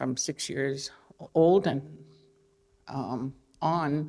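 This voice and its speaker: This woman has an Albertan accent. Her pitch is very deep and low. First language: Blackfoot. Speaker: artist. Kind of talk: panel talk. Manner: halting.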